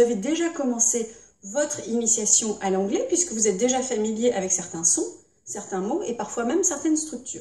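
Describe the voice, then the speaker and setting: High-pitched and at a moderate pace, a woman talks. Her pitch swings very widely. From Britain. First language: English (speaking French). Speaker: English teacher. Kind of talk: tutorial.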